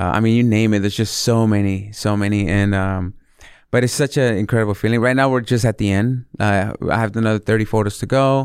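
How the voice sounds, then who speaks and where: A man with an American accent and an ordinary speaking voice talks fairly quickly at a fairly low pitch. His loudness is very even, his intonation fairly even, and the recording very clean with a silent background. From born Mexico City, raised California. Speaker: chef. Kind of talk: casual interview.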